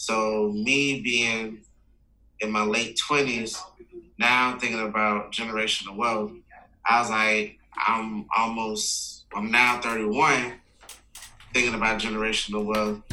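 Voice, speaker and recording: Speaking at a very slow pace with long, frequent pauses, a man with an American accent keeps a monotone, flat intonation amid noticeable background noise and audible room echo. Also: medium pitch for a man. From US South, Florida (Palm Beach area). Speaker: youth mentorship nonprofit founder. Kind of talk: casual interview.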